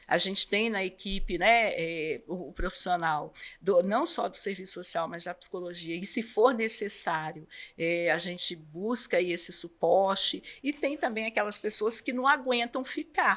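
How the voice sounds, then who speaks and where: Lively intonation marks this woman's medium-pitched voice, which moves at a moderate pace. The recording is very clean, with a silent background. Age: 60s. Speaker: superintendent of a support house for children with cancer. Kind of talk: interview. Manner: hesitant, many fillers.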